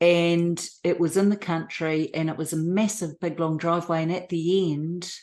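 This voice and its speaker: A woman's very deep, low voice in a New Zealand accent, fairly slow and fairly even in intonation, against a quiet background. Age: 60s. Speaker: abuse survivor. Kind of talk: testimony interview.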